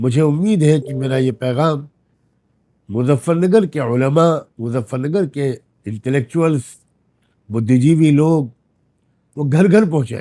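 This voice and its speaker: This man's voice is fairly high-pitched, with a dark, mellow tone and ordinary pitch variation. He leaves long, frequent pauses. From India. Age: 70s. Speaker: Islamic scholar. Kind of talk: recorded public message.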